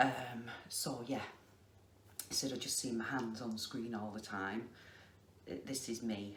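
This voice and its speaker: A woman with a very deep, low voice speaks at a fairly slow pace with ordinary pitch variation, amid noticeable background noise and audible room echo. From northern England, Lancashire. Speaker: crafter vlogger. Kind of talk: casual chat. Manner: slow and deliberate.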